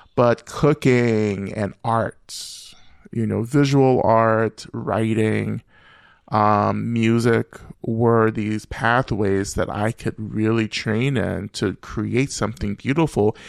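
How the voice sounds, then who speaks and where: A man with an American accent talks very slowly at medium pitch. The sound is dry and close with no echo over a quiet background. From US South, Rome, Georgia. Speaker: Buddhist teacher and author. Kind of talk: interview conversation. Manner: reflective, frequent filler phrases.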